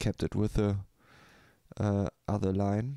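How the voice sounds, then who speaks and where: Heard on a very clean recording with a silent background and a dry, close sound with no echo, a man with a German accent speaks at a fairly low pitch in a dark, mellow tone. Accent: German accent, self-described bad English. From Germany. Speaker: beat maker, live streamer. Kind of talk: casual live stream talk. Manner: halting, many fillers.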